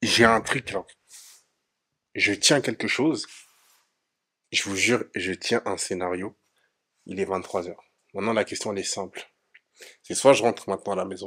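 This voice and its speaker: In a very clean recording with a silent background and a dry, close sound with no echo, a man with a bright, sharp tone speaks at a moderate pace with ordinary pitch variation, big swings in loudness and long, frequent pauses. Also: fairly low pitch for a man. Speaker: vlogger, studio entrepreneur. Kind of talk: casual vlog.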